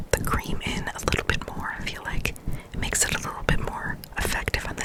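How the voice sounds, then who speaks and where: A woman's fairly quick whispering over noticeable background noise. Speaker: ASMR creator. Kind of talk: ASMR spa roleplay, personal attention. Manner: soft-spoken, whispering.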